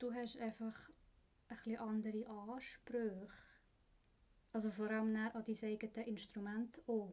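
A dark, mellow tone comes at a fairly slow pace with monotone, flat intonation, very even loudness, and long, frequent pauses. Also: woman. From Switzerland, Bern. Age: 20s. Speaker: apprentice instrument repairer. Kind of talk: casual interview.

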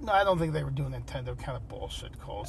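Background noise is noticeable throughout. Over it, a male speaker talks. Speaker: dad, co-host. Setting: in a parked car.

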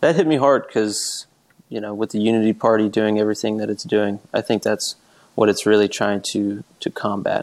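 With an ordinary speaking voice, a man talks at a fairly quick pace, fairly low in pitch, with fairly even intonation. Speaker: podcast host. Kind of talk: casual chat.

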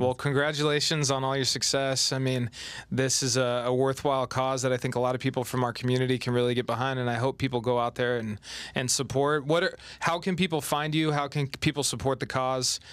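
Over noticeable background noise, a man speaks at a fairly quick pace with very even loudness and fairly even intonation. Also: medium pitch for a man. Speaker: interviewer, sports team host. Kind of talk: casual interview.

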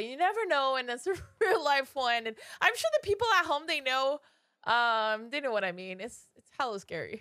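Projecting a raised voice, a woman speaks at a moderate pace in a high pitch with very wide pitch swings and a bright, sharp tone. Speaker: podcast co-host. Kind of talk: storytelling narration.

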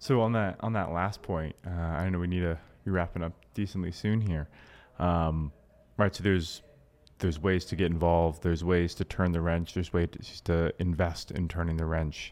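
A man with an American accent speaks in a very deep, low pitch at a moderate pace, his intonation fairly even. The recording is very clean, with a silent background. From US South, Georgia. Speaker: podcast host. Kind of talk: podcast interview. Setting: on location in Florida.

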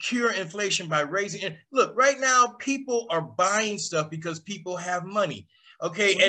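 A man's raised, projected voice, high in pitch, animated and bright, sharp in tone, with lively intonation. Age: 60s. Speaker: podcast host. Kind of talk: casual chat.

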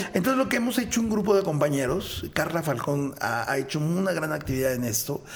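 Audible room echo surrounds a man with a fairly high pitch. His pitch swings very widely. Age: 50s. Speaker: voice actor. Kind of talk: interview.

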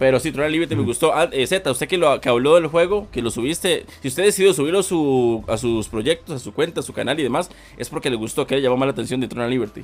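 Delivered at a very fast pace with hardly any pauses, the speech shows ordinary pitch variation. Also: man, fairly high pitch for a man. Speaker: gaming YouTuber. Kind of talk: casual chat.

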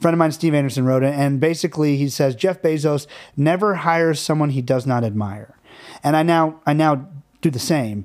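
On a very clean recording with a silent background, a man with a plain, everyday voice talks at a fairly quick pace and a fairly high pitch. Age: 40s. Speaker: film director and producer. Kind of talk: casual chat.

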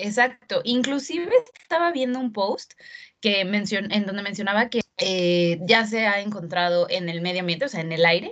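At a moderate pace, a woman uses an ordinary speaking voice with a medium pitch and lively intonation. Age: 20s. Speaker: zero-waste blogger. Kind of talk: casual interview.

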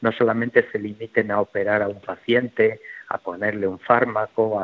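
A man with a normal speaking voice, medium in pitch, at a moderate pace. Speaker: health executive. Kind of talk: radio interview.

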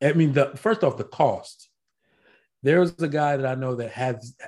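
A man with an American accent has a plain, everyday voice, medium in pitch, with lively intonation at a moderate pace. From Virginia Beach, Virginia, US. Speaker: firearms podcast co-host, medical school program director. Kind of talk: casual chat. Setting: video call.

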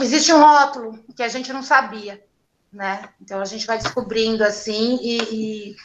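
A woman with a fairly high pitch speaks at a fairly slow pace with ordinary pitch variation. Hers is an unremarkable speaking voice, with big swings in loudness. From São Paulo periphery. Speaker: craft brewer. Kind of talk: casual interview.

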